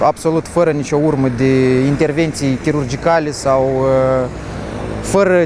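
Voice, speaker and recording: There is noticeable background noise as a man speaks with fairly even intonation. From Moldova. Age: 20s. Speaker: car collector. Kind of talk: interview.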